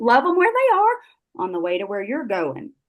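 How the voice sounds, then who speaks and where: A woman with a Texan accent at a moderate pace. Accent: Texan Southern US. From South Texas. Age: 70s. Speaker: network marketing business leader. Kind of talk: motivational talk on a group call. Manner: animated.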